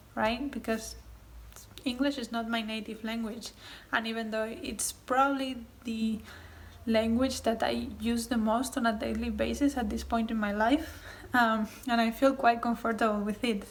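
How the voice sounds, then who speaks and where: A woman in a Spanish accent, fairly high in pitch, with monotone, flat intonation at a moderate pace. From Spain. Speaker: booktuber. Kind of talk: casual vlog talk answering tag questions. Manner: hesitant with frequent ums.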